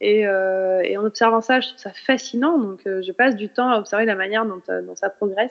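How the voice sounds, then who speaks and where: At a fairly quick pace with hardly any pauses, a woman of medium pitch talks with fairly even intonation and big swings in loudness. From France, Burgundy (Nevers). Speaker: journalist and author. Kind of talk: audience Q&A at a talk. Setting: stage with audience. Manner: hesitant, many fillers.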